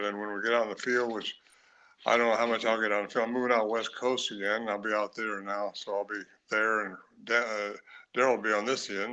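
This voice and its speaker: Against a quiet background, a man speaks at a very fast pace with medium pitch. His tone is bright and sharp, and his intonation is monotone and flat. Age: 80s+. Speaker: cryptid researcher and author. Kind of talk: live podcast interview. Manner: halting, with many fillers.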